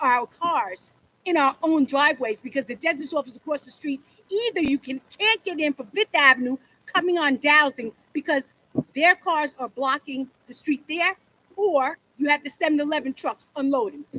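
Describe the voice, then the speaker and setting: A raised, projected voice with a bright, sharp tone and ordinary pitch variation moves at a moderate pace. The sound is dry and close, with no echo. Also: woman, high pitch for a woman. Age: 60s. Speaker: local resident speaking at public hearing. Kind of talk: public comment. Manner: animated.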